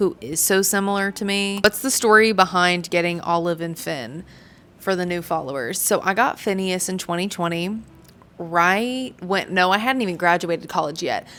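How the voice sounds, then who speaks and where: This woman has an unremarkable speaking voice, pitched fairly low. She speaks at a moderate pace with ordinary pitch variation. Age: 20s. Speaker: vlogger. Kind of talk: casual chat.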